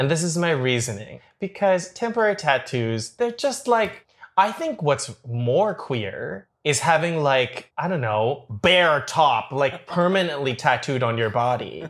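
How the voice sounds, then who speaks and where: A man with a Canadian accent speaks at a fairly slow pace with very wide pitch swings and hardly any pauses. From Toronto, Canada. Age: 30s. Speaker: baker and reality show contestant. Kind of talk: casual interview chat.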